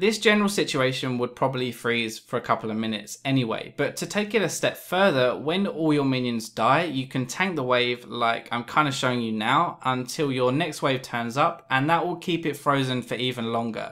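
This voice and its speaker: A man with a British accent speaks at a moderate pace, his pitch medium. His intonation is lively, with hardly any pauses. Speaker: gaming tutorial youtuber. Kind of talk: tutorial. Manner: casual, humorous.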